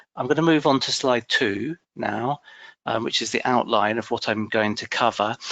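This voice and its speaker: At a fairly slow pace, a man speaks with a dry, close sound and no echo. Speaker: pension policy official. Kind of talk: presentation. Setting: webinar. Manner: halting, many fillers and repeats.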